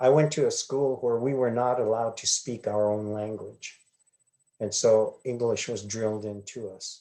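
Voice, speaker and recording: Speaking at a moderate pace with an Arizona accent, a man uses a medium pitch, a dark, mellow tone and fairly even intonation. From Hopi reservation, Arizona. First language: Hopi. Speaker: glass artist. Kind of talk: interview answers. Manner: hesitant, many fillers.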